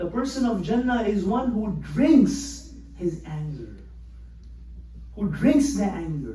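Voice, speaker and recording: A man with a Pakistani accent, very slow pace and long, frequent pauses, in audible room echo. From Pakistan, Karachi. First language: Urdu. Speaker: imam. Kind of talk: sermon. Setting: mosque.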